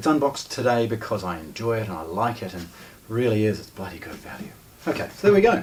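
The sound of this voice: A man's fairly low voice, slightly mellow in tone, with big pitch swings and a fast pace.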